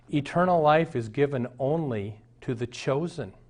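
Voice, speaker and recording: A man's unremarkable speaking voice, fairly high in pitch with ordinary variation, over a quiet background. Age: 60s. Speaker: pastor. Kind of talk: sermon.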